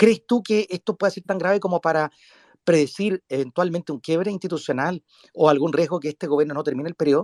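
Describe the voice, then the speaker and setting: Talking at a very fast pace, a man with a high pitch and ordinary pitch variation is captured in a dry, close sound with no echo. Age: 40s. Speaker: podcast host. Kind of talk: interview.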